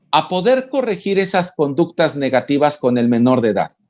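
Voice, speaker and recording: With lively intonation, a man uses an ordinary speaking voice pitched fairly high, captured on a very clean recording with a silent background. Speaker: family visitation network official. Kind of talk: interview answer.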